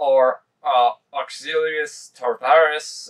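A man's voice is heard over a quiet background. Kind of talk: casual vlog chat. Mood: enthusiastic, relaxed. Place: home room. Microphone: camera far.

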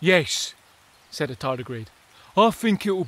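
The voice reads aloud without strain. Its intonation rises and falls in a lively way.

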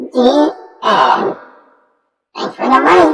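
A put-on character voice is pitched fairly high. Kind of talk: comedy skit. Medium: role play.

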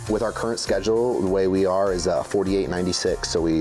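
A man speaks at a moderate pace with a fairly low pitch. His intonation stays fairly even, with clear music in the background. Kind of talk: interview answer. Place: garage.

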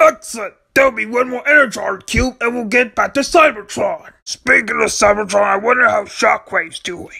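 A put-on character voice in a fairly high pitch, moderately paced with hardly any pauses. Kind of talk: comic overacting. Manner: pompous, whiny.

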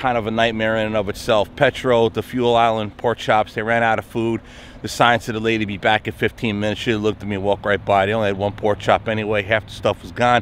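A man talks very fast, with hardly any pauses, in a fairly low, monotone, flat voice. The sound is dry with no echo, and light background noise is present. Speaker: truck driver vlogger. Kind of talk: casual vlog chat. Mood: mildly exasperated storytelling. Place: street. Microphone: phone near.

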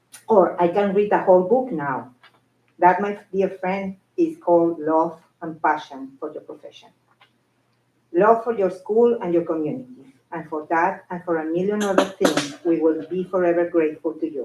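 A woman with a non-native accent speaks at a moderate pace and a fairly low pitch. Her loudness swings a lot, and her pitch varies in an ordinary way. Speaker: school secretary. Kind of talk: prepared tribute speech.

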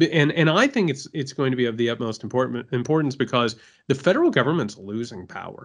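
A man with an American accent and lively intonation, against a quiet background. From Indiana, US Midwest. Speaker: podcast co-host. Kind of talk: casual chat. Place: home room.

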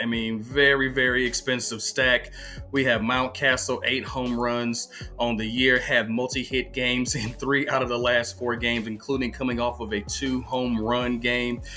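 Faint music plays in the background as a man speaks at a moderate pace. His intonation is monotone and flat. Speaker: fantasy sports analyst. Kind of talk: commentary. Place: home room. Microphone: webcam.

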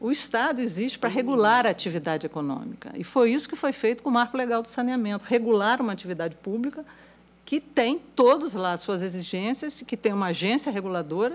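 The woman talks at a fairly quick pace. Her intonation is lively. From Brazil. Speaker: economist; panelist. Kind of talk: panel talk. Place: hall. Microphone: podium.

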